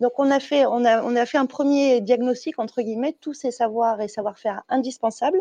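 In a dry, close recording with no echo, a woman speaks at a moderate pace with a high pitch, a dark, mellow tone and ordinary pitch variation. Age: 30s. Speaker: corporate training director. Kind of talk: interview.

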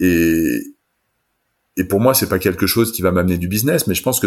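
A man with an ordinary speaking voice, fairly quick and fairly low-pitched, with ordinary pitch variation, on a very clean recording with a silent background. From France. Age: 40s. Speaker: wine entrepreneur. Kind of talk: interview.

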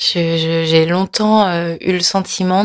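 On a very clean recording with a silent background, a woman speaks very slowly at a fairly low pitch with fairly even intonation, the sound dry and close with no echo. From France, near Nantes. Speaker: interview guest, Korean-born adoptee. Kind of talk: personal testimony interview. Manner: halting, with repetitions and fillers.

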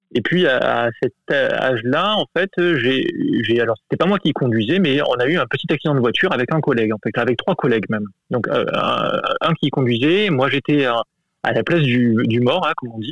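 An unremarkable speaking voice: a man at a moderate pace, fairly high-pitched, with lively intonation. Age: adult. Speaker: listener sharing a story. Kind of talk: testimony.

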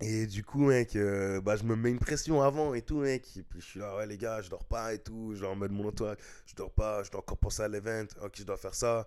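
A man speaks at a fairly quick pace with hardly any pauses, his pitch fairly low. His loudness swings widely, and the recording is very clean with a silent background. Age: 20s. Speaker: hip-hop dancer. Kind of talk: casual interview. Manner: hesitant, many fillers.

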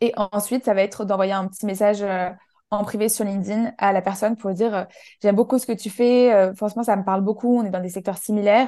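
A woman at medium pitch with a dark, mellow tone, talking at a fairly quick pace in a flat monotone. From southern France, Menton near the Italian border. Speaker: networking and personal branding trainer. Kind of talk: casual interview.

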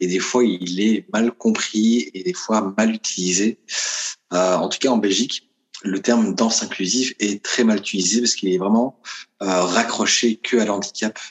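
Heard at a fairly slow pace is a plain, everyday voice with fairly even intonation. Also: man, fairly low pitch for a man. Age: 30s. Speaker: professional dancer. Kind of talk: interview.

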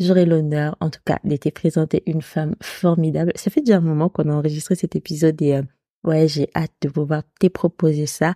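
A woman's very deep, low voice, dark and mellow with fairly even intonation, comes through a very clean recording with a silent background. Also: moderate pace. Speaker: podcast host. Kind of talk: solo monologue, year review.

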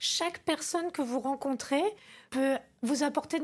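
A woman speaks fairly slowly at a high pitch. The recording is very clean, with a silent background. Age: 50s. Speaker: interior decorator and business owner. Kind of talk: interview. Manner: halting.

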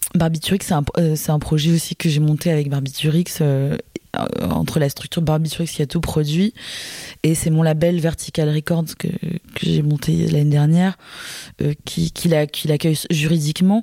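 A woman with a very deep, low voice talks at a fairly slow pace and fairly even intonation. Her loudness stays very even over noticeable background noise. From France, Marseille. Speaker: singer and DJ. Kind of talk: interview. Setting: studio.

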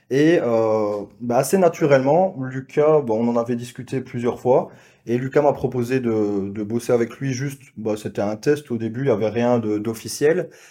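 In a dark, mellow tone, a man speaks at a medium pitch and a fairly slow pace. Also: ordinary pitch variation, quiet background. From Belgium. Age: 20s. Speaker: sales closer, business associate. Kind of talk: casual chat.

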